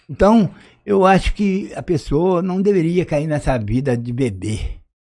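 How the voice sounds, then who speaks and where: Speaking fairly slowly, a man's high voice with a dark, mellow tone moves through very wide pitch swings. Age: 60s. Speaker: retired former footballer. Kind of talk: interview testimony.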